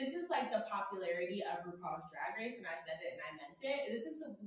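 Very wide pitch swings at a moderate pace, amid noticeable background noise. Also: woman. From Georgia, US South. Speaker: podcast guest. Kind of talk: casual chat.

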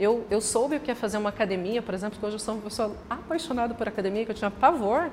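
A woman's fairly high voice, an unremarkable speaking voice with lively intonation. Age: 40s. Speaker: franchise store owner. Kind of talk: casual interview chat.

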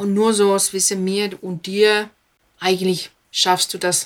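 Speaking at a very slow pace, a woman keeps a medium pitch and a monotone, flat intonation. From Finland. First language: Finnish (speaking German). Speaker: speech trainer. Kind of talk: interview. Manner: fluent without filler sounds.

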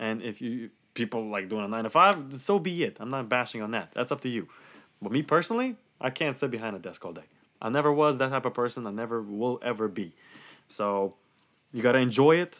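A man's normal speaking voice at medium pitch, fairly quick and with lively intonation, on a very clean recording with a silent background. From Romania, then New York and New Jersey. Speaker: podcast guest. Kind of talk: casual chat.

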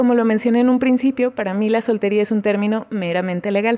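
A woman speaks in a normal speaking voice at a moderate pace. Her pitch is fairly high and her intonation fairly even. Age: 20s. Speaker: podcast host. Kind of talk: casual chat.

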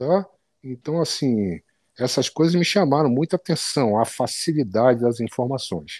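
Against a quiet background, a man with a medium pitch speaks fairly slowly with lively intonation. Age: 50s. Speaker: physical education professional. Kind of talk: interview. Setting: online call.

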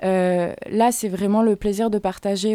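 A woman speaks with fairly even intonation and a dark, mellow tone. The recording is very clean, with a silent background. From Fresnes, Paris region. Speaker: singer and rapper. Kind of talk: radio interview.

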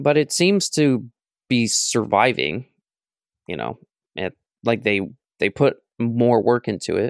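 A man's medium-pitched voice with vocal fry, lively intonation and a very slow pace, broken by long, frequent pauses, in a dry, close sound with no echo. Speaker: video game podcast co-host. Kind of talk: casual chat.

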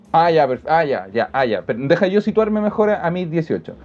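The speaker talks at a fairly slow pace in a Chilean accent. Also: man. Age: 20s. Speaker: stand-up comedian. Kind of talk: casual chat. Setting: studio.

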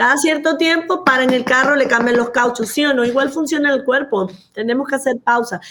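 Against noticeable background noise, a woman with a high pitch talks at a fairly quick pace in an animated tone, her pitch varying in an ordinary way and her loudness very even. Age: 50s. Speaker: physician and anti-aging coach. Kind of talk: interview.

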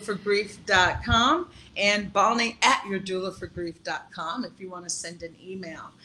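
Music plays in the background as a woman with an American accent talks at a fairly slow pace, with big swings in loudness. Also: medium pitch for a woman, ordinary pitch variation. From US East Coast (South Carolina, Washington D.C.). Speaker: grief doula and life coach. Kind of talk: interview. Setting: video call.

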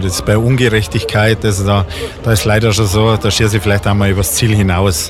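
A man speaks at a very fast pace and fairly low pitch, with fairly even intonation. His loudness is very even, and there is noticeable background noise. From Bavaria, Bad Tölz. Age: 50s. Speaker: venue owner and event organizer. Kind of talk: radio interview. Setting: on location in a bar.

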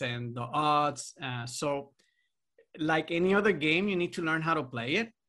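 On a very clean recording with a silent background, a man speaks fairly slowly in a fairly high voice with a bright, sharp tone. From Puerto Rico. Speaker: radiology residency program director. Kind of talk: interview. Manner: halting.

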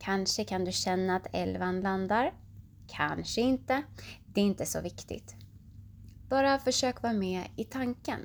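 A woman speaks in a soothing, gentle tone at a fairly slow pace. She leaves long, frequent pauses. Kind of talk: guided meditation (yoga nidra) for children at bedtime. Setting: bedtime audio. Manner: slow, soothing and gentle, with long pauses between body parts; calm, warm and reassuring, speaking directly to the child.

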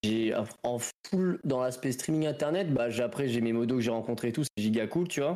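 A man speaks at a medium pitch and a moderate pace. He has an ordinary speaking voice. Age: 20s. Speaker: streamer. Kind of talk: casual chat.

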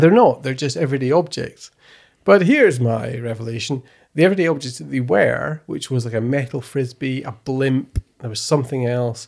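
A man speaks in a normal speaking voice at medium pitch and a moderate pace. His pitch varies in an ordinary way while his loudness swings widely. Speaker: podcast host. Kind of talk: casual chat.

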